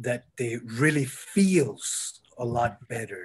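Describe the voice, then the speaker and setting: Somewhat breathy, a man with a Spanish accent speaks with ordinary pitch variation. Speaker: architect and labyrinth designer. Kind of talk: Q&A after a talk. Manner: halting, many fillers.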